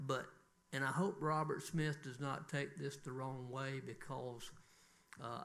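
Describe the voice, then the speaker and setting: A man's medium-pitched voice with a Southern US accent, fairly slow and fairly even in intonation, with audible room echo. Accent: Southern US (Georgia). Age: 60s. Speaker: city council member. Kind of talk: council meeting remarks.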